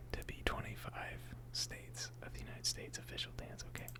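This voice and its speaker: Soft-spoken whispering comes through noticeable background noise. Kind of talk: ASMR casual hangout talk. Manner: whispered, soft-spoken.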